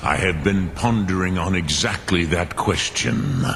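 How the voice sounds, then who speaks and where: A man puts on a character voice with a very deep, low pitch. Clear background noise runs beneath it. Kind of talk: dragon language intoning. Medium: video game. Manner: slow, measured, contemplative.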